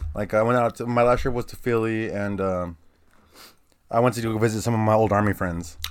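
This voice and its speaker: A man with an American accent and a normal speaking voice, medium pitch, fairly even intonation and a fairly quick pace. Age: 30s. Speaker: guest. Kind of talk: casual chat. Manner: casual.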